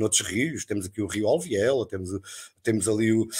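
Medium pitch from a man, captured in a very clean recording against a silent background. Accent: European Portuguese. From Portugal, Torres Novas area. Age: 50s. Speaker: local activist, railway worker. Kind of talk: live-stream panel discussion.

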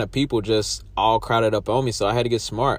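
Pitched fairly low, a man speaks with vocal fry and ordinary pitch variation. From Alabama (Birmingham). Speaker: podcast host. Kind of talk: casual monologue. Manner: halting, many fillers.

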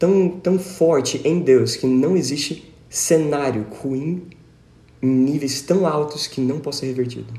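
A man's fairly high-pitched, somewhat breathy voice with a dark, mellow tone, a fairly slow pace, ordinary pitch variation, and audible room echo. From Brazil, São Paulo state (Tatuí). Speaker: teacher and musician. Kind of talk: casual Bible study discussion.

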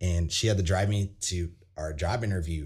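This man has a very deep, low voice with a dark, mellow tone and a somewhat breathy quality. He speaks with a Midwestern US accent and fairly even intonation over a very clean recording with a silent background. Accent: US Midwest. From Iowa, small town west of Des Moines. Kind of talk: casual chat.

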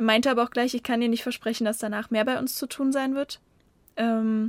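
A woman speaks at a moderate pace with a fairly high pitch and a flat, monotone delivery, in a very clean, dry, close recording with no echo and a silent background. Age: 20s. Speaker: former volunteer. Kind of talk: casual interview. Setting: studio, separate rooms behind glass, headphones.

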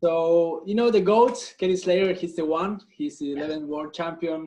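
A high-pitched man with a Spanish accent, moderate pace and ordinary pitch variation. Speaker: podcast host. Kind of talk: casual interview chat. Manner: halting.

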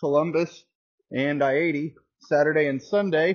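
A man speaks in an enthusiastic tone. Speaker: dirt racing podcast host. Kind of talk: solo podcast monologue. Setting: at work. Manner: casual, enthusiastic.

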